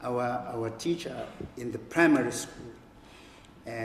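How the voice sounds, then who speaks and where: A man's medium-pitched voice with a Zulu accent, fairly even intonation and a fairly slow pace, in audible room echo. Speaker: writer and professor. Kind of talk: public conversation. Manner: halting.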